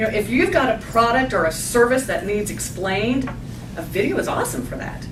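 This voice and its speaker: A woman speaks with a fairly high pitch and lively intonation. There is noticeable background noise and audible room echo. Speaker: marketing presenter. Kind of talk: business presentation. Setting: lunch seminar with audience. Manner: fast.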